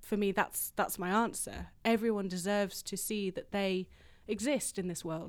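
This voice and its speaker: Speaking with an English accent, a woman keeps a medium pitch. Her pace is moderate and her intonation fairly even. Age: 30s. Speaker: composer. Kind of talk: interview.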